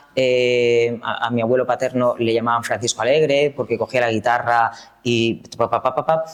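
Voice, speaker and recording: Over noticeable background noise, a man speaks at a moderate pace and medium pitch, his intonation fairly even. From Valencian Community, Spain. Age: 40s. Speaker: singer, dancer and choreographer. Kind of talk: interview. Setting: art gallery in Madrid.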